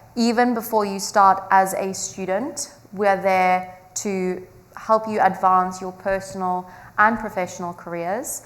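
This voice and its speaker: Fairly slow, fairly even-toned speech in a strong South African accent. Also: woman. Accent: heavy South African. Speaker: student. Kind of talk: presentation to audience.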